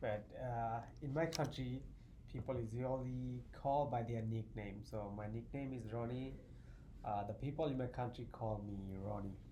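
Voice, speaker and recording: A man with a Bengali accent speaks in a somewhat breathy voice at a medium pitch. His pace is moderate and his intonation fairly even, with audible room echo. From Bangladesh, southeast. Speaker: math graduate student. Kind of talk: casual interview chat.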